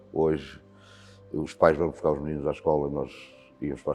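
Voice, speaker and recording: Speech at a moderate pace plays over background music. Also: man. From Portugal, Beira Alta (Santa Comba Dão). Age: 60s. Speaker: volunteer fire commander. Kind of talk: interview. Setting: fire station.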